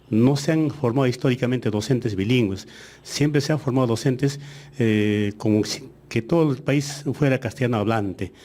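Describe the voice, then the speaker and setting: In an Andean accent, a man speaks at medium pitch in a dark, mellow tone. His pace is fairly slow and his pitch varies in an ordinary way. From Aymara-speaking Andes, Peru. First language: Aymara (speaking Spanish). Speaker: education official. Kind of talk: radio interview. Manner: hesitant, many fillers.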